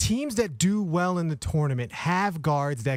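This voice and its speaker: Speaking at a fairly slow pace with lively intonation, a man uses a plain, everyday voice on a very clean recording with a silent background. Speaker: radio sports anchor. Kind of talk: sports radio talk discussion.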